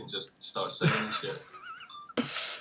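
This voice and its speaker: Over noticeable background noise, a man speaks with a strong Scottish accent. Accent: heavy Scottish. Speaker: guitarist in a metal band. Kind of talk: casual livestream chat.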